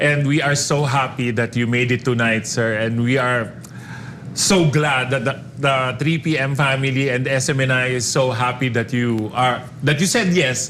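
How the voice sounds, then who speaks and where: Amid noticeable background noise and audible room echo, a man with a Filipino accent talks at a moderate pace in a medium pitch, his intonation fairly even and his loudness very even. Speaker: radio host. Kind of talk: interview.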